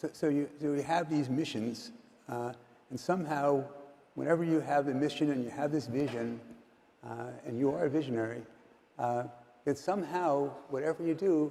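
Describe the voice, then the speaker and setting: A man with an American accent speaks at a moderate pace in a dark, mellow tone, his fairly high pitch moving with ordinary variation and broken by long, frequent pauses. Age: 70s. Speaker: investor. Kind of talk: interview.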